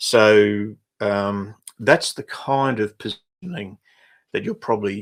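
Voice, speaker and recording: Speaking with an Australian accent, a man talks at a fairly slow pace and fairly low pitch. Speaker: business coach. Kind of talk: livestream webinar. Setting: livestream. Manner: halting.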